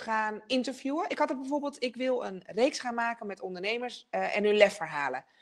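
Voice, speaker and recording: A woman's fairly high pitch with very wide pitch swings at a moderate pace, against a quiet background. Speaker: television presenter and speaker; television presenter, speaker. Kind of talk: online masterclass talk. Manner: energetic. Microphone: video call.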